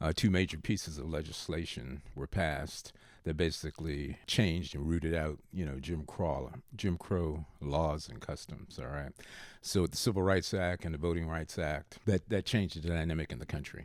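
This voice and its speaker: In a very clean recording with a silent background, a man with a very deep, low pitch and vocal fry talks at a moderate pace with ordinary pitch variation. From Baltimore, Maryland, US. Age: 70s. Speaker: retired father of the host. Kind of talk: casual interview. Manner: frequent filler uh pauses.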